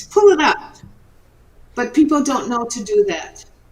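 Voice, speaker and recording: This woman has a high-pitched voice and speaks at a moderate pace. Noticeable background noise can be heard behind her. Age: 70s. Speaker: retired entrepreneur and inventor. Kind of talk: interview.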